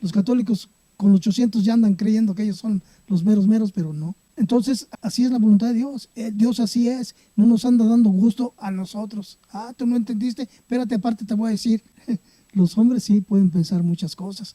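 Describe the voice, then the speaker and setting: Heard in a dry, close sound with no echo, a man talks at a fairly quick pace in a high pitch with fairly even intonation. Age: 70s. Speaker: church member. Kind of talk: testimony. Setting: at home.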